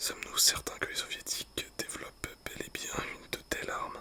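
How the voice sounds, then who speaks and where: A fairly slow whisper comes through noticeable background noise. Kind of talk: whispered book reading. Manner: whispered.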